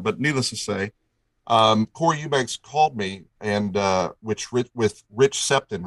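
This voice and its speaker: In a quiet background with a dry, close sound and no echo, a man speaks at medium pitch with ordinary pitch variation in an unremarkable speaking voice. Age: 40s. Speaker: replica car builder and collector. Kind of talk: interview storytelling.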